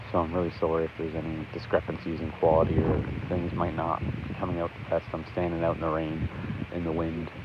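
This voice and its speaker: A man's quiet, very deep, low voice at a very fast pace, monotone and flat in intonation, amid noticeable background noise. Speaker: livestreamer covering local event. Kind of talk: live stream commentary. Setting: outdoors in rain at ceremony. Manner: quiet, talking low.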